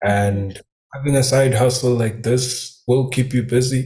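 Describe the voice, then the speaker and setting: The speech is somewhat breathy, with a dark, mellow tone and monotone, flat intonation. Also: man. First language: Swati. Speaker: new business member. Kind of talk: testimony. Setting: live stream.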